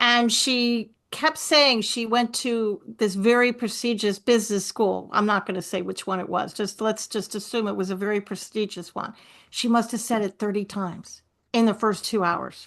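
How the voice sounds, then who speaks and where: Speaking at a moderate pace, a woman has a plain, everyday voice with fairly high pitch and fairly even intonation. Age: 60s. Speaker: author and forgiveness coach. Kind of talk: interview.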